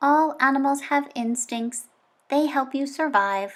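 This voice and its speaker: Delivered at a fairly slow pace, this put-on character voice comes through in a very clean recording with a silent background. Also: woman, high pitch for a woman. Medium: read story. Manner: plain, formal, no contractions.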